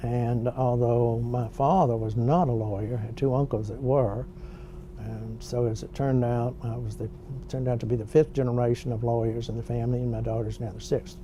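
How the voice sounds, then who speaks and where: Over noticeable background noise, a man with a Louisiana accent speaks at a fairly quick pace. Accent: Southern US (Louisiana). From US South (Shreveport, Louisiana). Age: 70s. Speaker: retired bankruptcy judge. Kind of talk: oral history interview. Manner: measured, with frequent fillers.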